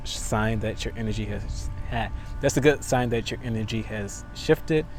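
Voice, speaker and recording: A man talks at a moderate pace against noticeable background noise. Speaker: tarot reader. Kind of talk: tarot reading. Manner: stuttering; casual.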